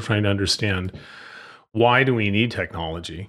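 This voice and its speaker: Noticeable background noise sits behind a man's voice. His pitch varies in an ordinary way. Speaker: HR technology expert. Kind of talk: casual interview. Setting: podcast interview.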